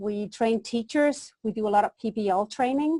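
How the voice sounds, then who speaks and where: A woman speaks high for her sex with a slight Danish accent and a dark, mellow tone. Her pitch moves in an ordinary way, and the sound is dry and close with no echo over a quiet background. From Denmark. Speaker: education consultant. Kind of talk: webinar presentation. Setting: webinar.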